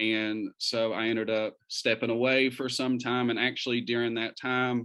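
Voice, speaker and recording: Slow-ish and deliberate, a man talks at a fairly slow pace. He has a slight Eastern Kentucky accent, with a quiet background. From Eastern Kentucky, Pikeville. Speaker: community organizer. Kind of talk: talk to an interfaith group. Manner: hesitant, many fillers.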